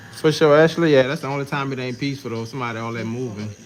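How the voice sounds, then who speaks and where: Over noticeable background noise, a man talks with an American accent and fairly even intonation. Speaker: tattoo artist. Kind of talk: casual chat. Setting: livestream.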